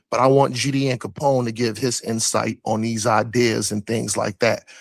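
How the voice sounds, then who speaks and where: In a dry, close recording with no echo, a man talks at a medium pitch with monotone, flat intonation. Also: moderate pace. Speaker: panel debater on religion and science. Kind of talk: livestream panel debate. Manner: halting, repetitive.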